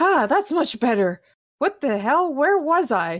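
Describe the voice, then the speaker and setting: A woman puts on a character voice with high pitch. She goes at a fairly slow pace, her pitch swinging very widely. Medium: actual play. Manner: petulant, bossy.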